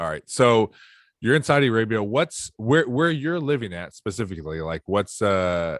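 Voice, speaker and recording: A man speaks at a moderate pace and a medium pitch, with very wide pitch swings. The recording is very clean and dry, close with no echo and a silent background. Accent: American. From Toledo, Ohio, US Midwest. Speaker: podcast host. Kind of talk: casual interview chat.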